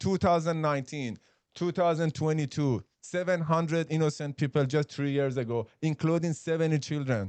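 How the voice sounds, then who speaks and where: A man with a Persian accent speaks with ordinary pitch variation and very even loudness. The sound is dry and close, with no echo. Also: fairly high pitch for a man, moderate pace, quiet background. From Iran. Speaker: podcast co-host. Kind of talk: casual discussion. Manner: halting.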